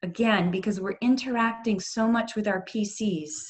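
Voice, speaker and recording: A somewhat breathy woman's voice at a fairly slow pace with ordinary pitch variation. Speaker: yoga and mindfulness instructor. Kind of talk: workshop instruction. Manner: calm.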